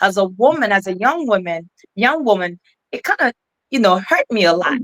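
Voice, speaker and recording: A woman with an African accent, in a dry, close recording with no echo. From Ghana. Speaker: keynote speaker and author. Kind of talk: interview conversation. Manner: halting.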